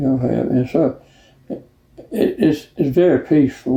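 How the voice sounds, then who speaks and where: With a Georgia accent, a man speaks at a medium pitch and a moderate pace. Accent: Georgia Southern US. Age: 90s. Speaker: marina owner. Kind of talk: oral history interview. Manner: halting.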